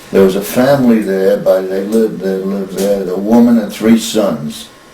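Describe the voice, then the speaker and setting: With an American accent, a man speaks at a fairly low pitch and a moderate pace with ordinary pitch variation. Noticeable background noise can be heard. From US Northeast, Brooklyn New York. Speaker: grandfather interviewed about family history. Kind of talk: casual interview. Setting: family kitchen.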